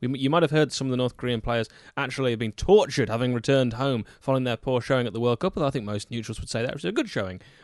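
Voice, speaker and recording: A man with an English accent speaks at a very fast pace in a medium pitch. His pitch varies in an ordinary way over a quiet background. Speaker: football podcast co-host. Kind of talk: casual chat. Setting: studio.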